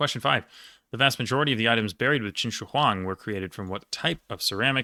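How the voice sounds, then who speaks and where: In a very clean recording with a silent background, a man speaks in a bright, sharp tone. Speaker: quiz league player and video creator. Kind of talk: casual solo commentary while answering quiz questions. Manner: fast, flowing today; usually stutters, little today.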